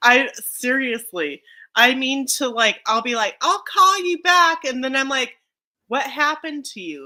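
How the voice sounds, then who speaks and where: In a very clean recording with a silent background, a woman uses a raised, projected voice with a high pitch, bright, sharp tone, lively intonation and big swings in loudness at a fairly slow pace. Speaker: homestead livestream host. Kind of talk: casual chat.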